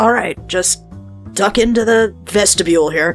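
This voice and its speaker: A raspy, put-on character voice at middle pitch speaks at a moderate pace. Clear music plays in the background. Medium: actual play. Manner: casual, confident.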